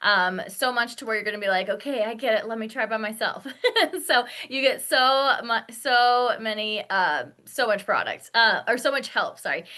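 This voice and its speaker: With an unremarkable speaking voice, a woman talks at a moderate pace, her pitch fairly high with ordinary pitch variation. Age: 30s. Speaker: beauty sales consultant. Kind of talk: sales pitch.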